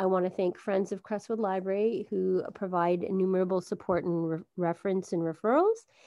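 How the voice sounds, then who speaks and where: A woman's medium-pitched, plain, everyday voice at a fairly quick pace, with fairly even intonation and hardly any pauses. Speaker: library wellness program host. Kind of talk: welcome announcement. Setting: video call.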